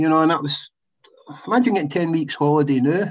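The speaker is a man with a west of Scotland accent. His pitch varies in an ordinary way. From Scotland, west. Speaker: retired footballer. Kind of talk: casual chat.

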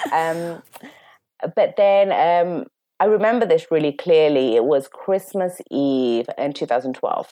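A woman with an East London accent speaks very slowly, her fairly low voice dark and mellow. Her intonation stays lively throughout. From London, England. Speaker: interview guest sharing personal story. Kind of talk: emotional personal testimony.

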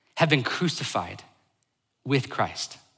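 The voice has a bright, sharp tone and a moderate pace, with audible room echo. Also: man. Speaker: pastor. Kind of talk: sermon.

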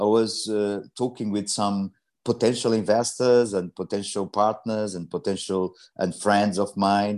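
A man with a Portuguese accent, fairly low pitch, monotone, flat intonation and a fairly slow pace, with a dry, close sound, no echo and a quiet background. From Portugal. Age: 50s. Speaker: energy entrepreneur. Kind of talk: interview. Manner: halting.

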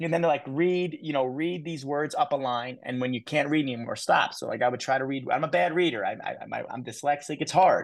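A man with an unremarkable speaking voice talks at a fairly quick pace and fairly high pitch, his intonation lively against a quiet background. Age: 30s. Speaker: youth motivational speaker. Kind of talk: interview.

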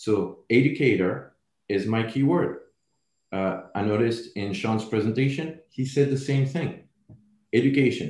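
A man with a French accent at a fairly slow pace. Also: medium pitch for a man, ordinary pitch variation. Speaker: building products sales representative. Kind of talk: interview podcast.

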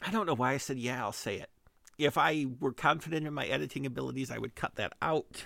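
There is vocal fry as a man rattles along at a very fast pace in a bright, sharp tone with ordinary pitch variation. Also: medium pitch for a man, very clean recording, silent background. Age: 40s. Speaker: podcast host. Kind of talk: casual solo monologue. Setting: home recording at a microphone. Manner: halting, many fillers and restarts.

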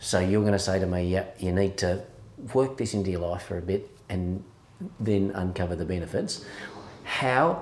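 A man's very deep, low-pitched voice with an Australian accent, at a moderate pace broken by long, frequent pauses. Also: fairly even intonation. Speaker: podcast host. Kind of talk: casual interview chat.

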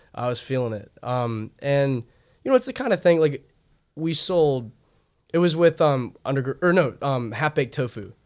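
A plain, everyday voice with an American accent moves at a moderate pace with ordinary pitch variation. The recording is very clean, with a silent background. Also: man, fairly high pitch for a man. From Northern Virginia, DC suburbs. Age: young. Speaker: singer-songwriter. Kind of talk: casual interview.

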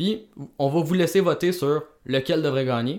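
On a very clean recording with a silent background, a man talks at a fairly quick pace with a Quebec accent. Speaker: podcast co-host, film critic. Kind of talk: casual chat. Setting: home basement.

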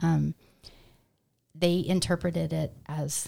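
A woman talks at a very slow pace with fairly even intonation. Her voice is somewhat breathy, with a dark, mellow tone. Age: 50s. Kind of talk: podcast interview, personal testimony.

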